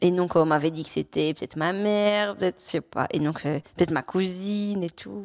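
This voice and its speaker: Speaking at a moderate pace, a woman uses a normal speaking voice with medium pitch and ordinary pitch variation. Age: young. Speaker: adoptee sharing her story. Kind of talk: personal testimony in conversation.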